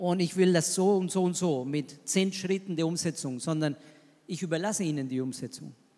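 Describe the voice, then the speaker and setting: Using ordinary pitch variation, a man with a Spanish accent talks at a moderate pace and high pitch. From Argentina. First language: Spanish (speaking German). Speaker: missionary pastor. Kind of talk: panel discussion.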